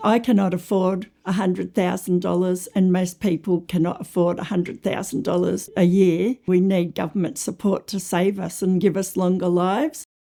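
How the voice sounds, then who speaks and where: Her medium pitch and dark, mellow tone carry at a moderate pace as a woman speaks with fairly even intonation and hardly any pauses. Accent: Australian. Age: 60s. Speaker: teacher with a lung condition. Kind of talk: personal testimony.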